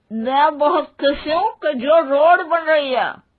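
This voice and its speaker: Mumbling in a put-on character voice, a woman speaks at a high pitch and moderate pace with ordinary pitch variation. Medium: cartoon. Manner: indistinct, stubborn.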